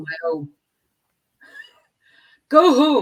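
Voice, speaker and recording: A woman with an Estonian accent at a fairly slow pace, her intonation lively. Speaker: podcast guest. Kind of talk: interview answer.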